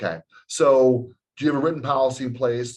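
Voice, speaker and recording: A man at a medium pitch. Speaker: insurance agent. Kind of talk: webinar presentation. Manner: halting, with fillers.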